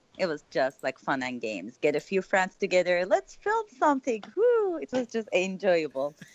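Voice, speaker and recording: Here is a woman with a Turkish accent at a moderate pace. She leaves hardly any pauses. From Turkey, Istanbul. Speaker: filmmaker. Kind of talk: interview.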